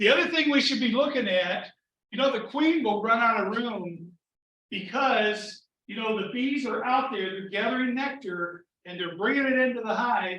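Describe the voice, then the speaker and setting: A man with a high pitch speaks at a moderate pace in a raised, projected voice. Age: 60s. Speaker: beekeeping club president. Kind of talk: club meeting talk. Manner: casual, filler-heavy.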